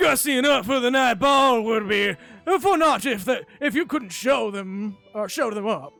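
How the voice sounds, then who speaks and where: Over music in the background, a man in a put-on character voice drawls in a raised, projected voice at an extremely high pitch and a moderate pace. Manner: drawled.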